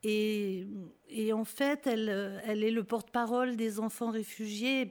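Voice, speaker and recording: A woman speaks in a normal speaking voice with a fairly high pitch. Her pace is fairly slow and her intonation fairly even. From Lyon, France (Guillotière). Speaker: singer and refugee-aid activist. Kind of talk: radio interview. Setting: studio.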